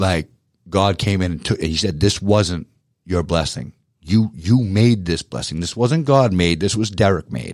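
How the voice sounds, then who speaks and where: Speaking at a fairly slow pace with a Boston accent, a man uses a very deep, low pitch and lively intonation. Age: 40s. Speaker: power washing business owner. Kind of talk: radio interview. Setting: studio.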